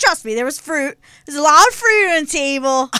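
Putting on a character voice, a woman speaks high and projected, with a Philadelphia accent. Her intonation is lively and her pace fairly quick.

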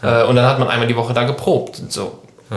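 There is audible room echo on this recording. The man's voice sits at a medium pitch. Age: 20s. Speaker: podcast host and band musician. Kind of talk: casual chat.

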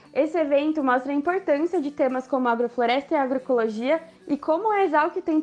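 Fairly quick speech from a woman, high in pitch and with ordinary pitch variation. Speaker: forestry student. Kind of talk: scripted promo.

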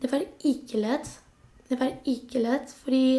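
Fairly even intonation in a high female voice. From Spain. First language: Spanish (speaking Norwegian). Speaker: nurse, labour migrant. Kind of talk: interview.

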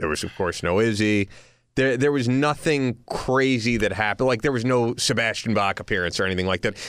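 A man with a normal speaking voice talks at a medium pitch. His pace is fairly quick, with ordinary pitch variation. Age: 30s. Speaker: podcast co-host. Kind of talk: casual chat. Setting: studio.

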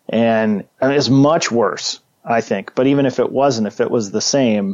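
A man speaks at medium pitch with ordinary pitch variation in an unremarkable speaking voice. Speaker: political commentator guest. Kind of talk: casual chat. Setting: video call. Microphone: Skype call audio.

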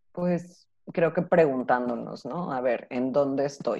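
A woman's very deep, low voice, dark and mellow in tone, with ordinary pitch variation at a moderate pace. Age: 30s. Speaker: psychologist and sex educator. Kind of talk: interview.

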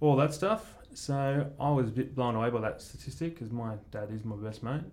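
Speaking in an Australian accent, a man keeps a moderate pace and ordinary pitch variation. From Australia, Mornington Peninsula, Victoria. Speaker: commercial photographer. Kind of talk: casual chat. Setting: studio.

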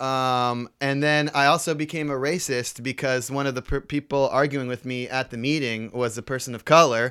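A man at medium pitch with a bright, sharp tone, fairly even intonation and hardly any pauses, on a very clean recording with a silent background. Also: moderate pace. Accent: American. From San Jose, Bay Area, California. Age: 20s. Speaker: bike messenger and musician. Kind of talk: casual chat. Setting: studio.

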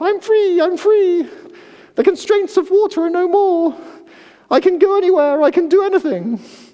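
A squeaky, put-on character voice hits an extremely high pitch. It moves at a moderate pace. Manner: gleeful, dramatic.

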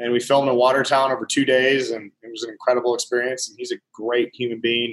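Speaking very fast in a monotone, flat intonation, a man with a Montana accent has a medium pitch, and the sound is dry and close with no echo. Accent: Montana, US Mountain West. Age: 30s. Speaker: country musician. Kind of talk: casual chat.

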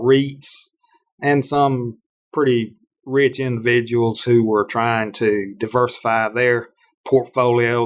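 A man speaks with a Mississippi accent. His intonation is monotone and flat. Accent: Southern US (Mississippi). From US South, Starkville, Mississippi. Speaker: farm and land auction consultant. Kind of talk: interview.

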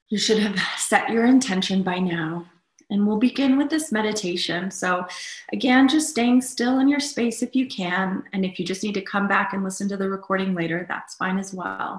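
A woman speaks in an ordinary speaking voice. Her pitch sits in the middle range and rises and falls a normal amount. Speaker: meditation guide. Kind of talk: guided meditation. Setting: live online session with group. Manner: slow, soothing, calm; warm, gentle.

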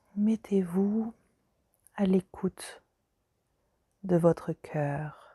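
Her voice at a medium pitch, a woman speaks in a soothing, gentle, dark and mellow tone, somewhat breathy, with long, frequent pauses, the sound dry and close with no echo. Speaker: meditation guide. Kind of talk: guided meditation. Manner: slow, soothing, soft-spoken, with long pauses; gentle, calm, intimate.

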